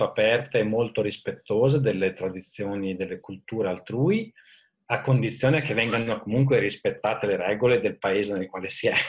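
At a moderate pace and medium pitch, a man speaks in a somewhat breathy voice with ordinary pitch variation against a quiet background. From Italy, Modena (Emilia). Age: 40s. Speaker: IT manager. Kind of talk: interview.

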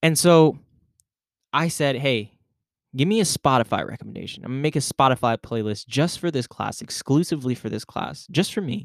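Here a man speaks fairly quickly with ordinary pitch variation. The recording is very clean with a silent background and a dry, close sound with no echo. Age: 20s. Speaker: podcast host and student teacher. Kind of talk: casual solo podcast music review. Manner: casual, hesitant with fillers.

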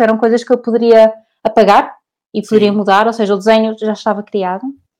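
This woman's voice has a dark, mellow tone and a fairly high pitch. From Portugal, Porto. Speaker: cartoonist. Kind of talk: interview.

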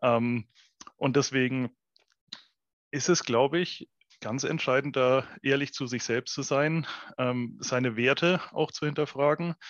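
Speaking at a very slow pace with long, frequent pauses, a man talks at a medium pitch with fairly even intonation. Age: 30s. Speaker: entrepreneur. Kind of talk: casual chat. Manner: hesitant, many fillers.

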